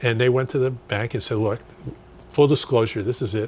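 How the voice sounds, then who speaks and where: This man's voice carries some breathiness. He speaks very quickly. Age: 70s. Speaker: political candidate. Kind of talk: interview.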